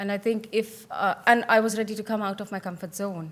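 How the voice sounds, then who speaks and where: Fairly even intonation marks this woman's speech. She talks at a fairly quick pace. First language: not English. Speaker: teacher and conference panelist. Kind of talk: panel discussion. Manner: hesitant, with fillers.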